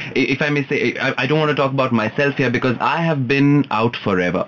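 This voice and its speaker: A man's medium-pitched voice moves at a moderate pace, with noticeable background noise behind it. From India, Punjabi family. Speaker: guest on LGBTQ talk show. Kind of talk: casual chat.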